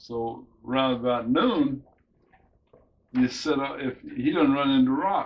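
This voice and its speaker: Speaking very slowly with an American accent, a man holds a medium pitch with ordinary pitch variation. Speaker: storyteller recalling childhood memories. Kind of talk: casual storytelling, oral history recollection.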